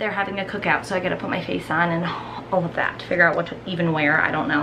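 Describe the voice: A woman at a fast pace over clear background noise.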